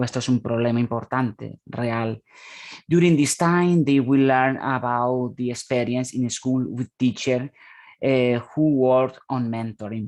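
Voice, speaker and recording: The pace is very slow. The background is quiet. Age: 30s. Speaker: conference speaker, academic. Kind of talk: conference presentation. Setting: online conference.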